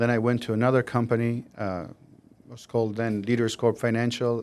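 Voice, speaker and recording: A man's medium-pitched voice with an Albanian accent, monotone, flat intonation and a moderate pace on a very clean recording with a silent background. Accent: Albanian (Southern European). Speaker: mortgage loan officer. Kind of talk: podcast interview.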